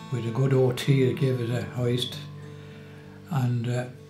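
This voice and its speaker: A man speaks with clear music playing behind him and audible echo in the room. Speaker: family carer for his wife. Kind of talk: interview answer. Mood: warm, reflective. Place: kitchen.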